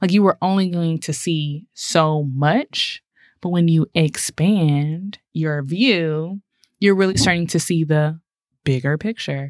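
Very slowly, a woman with an American accent speaks with ordinary pitch variation. The sound is dry and close with no echo, in a very clean recording against a silent background. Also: fairly low pitch for a woman. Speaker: podcast co-host. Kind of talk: casual podcast conversation.

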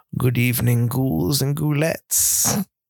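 A man cackles in a put-on character voice at medium pitch and a fairly slow pace. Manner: creepy, cackling, theatrical.

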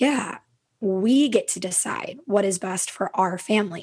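This woman talks with an Upper Midwest accent. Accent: Upper Midwest American. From Minnesota, US. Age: 30s. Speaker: podcast host and yoga/wellness coach. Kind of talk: casual interview conversation.

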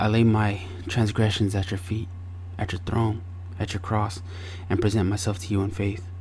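A man speaks in an American accent at a moderate pace, somewhat breathy and monotone in flat intonation, with long, frequent pauses. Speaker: podcast host. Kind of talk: fervent prayer, opening the show with a spoken prayer; podcast monologue, solo address. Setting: home recording with air purifier noise. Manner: earnest, heavy-hearted, reverent.

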